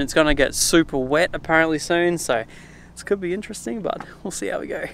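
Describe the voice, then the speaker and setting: A man's very fast speech with ordinary pitch variation, in a dry sound with no echo. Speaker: car vlogger. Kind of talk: casual vlog chat. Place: open country. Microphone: phone near.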